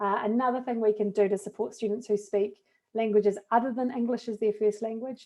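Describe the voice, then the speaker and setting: Her pitch fairly high, a woman speaks with a New Zealand accent at a moderate pace and with ordinary pitch variation. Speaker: education technology trainer, former teacher. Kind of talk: tutorial.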